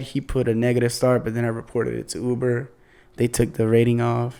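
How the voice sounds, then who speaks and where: Over a silent background in a very clean recording, a man talks at a fairly quick pace in a relaxed tone. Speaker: musician and rideshare driver. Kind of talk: casual chat. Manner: relaxed, laid-back.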